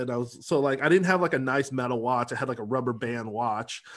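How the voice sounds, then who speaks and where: A man speaks in a plain, everyday voice at medium pitch. His pace is fairly quick, and his pitch varies in an ordinary way. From US Pacific Northwest, Seattle. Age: 40s. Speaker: sales and marketing coach. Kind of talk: casual interview chat.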